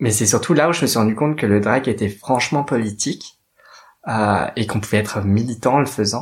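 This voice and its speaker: A man talks at a fairly quick pace in a medium pitch, his voice somewhat breathy. His loudness stays very even, and his pitch varies in an ordinary way. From Paris, France. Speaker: drag queen and activist. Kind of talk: personal testimony monologue.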